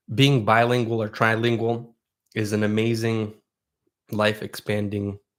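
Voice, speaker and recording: With a Russian accent, a man speaks at a fairly slow pace in a monotone, flat delivery broken by long, frequent pauses. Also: medium pitch for a man. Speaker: YouTuber and foraging educator. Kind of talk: livestream Q&A. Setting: livestream. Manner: casual, conversational with fillers.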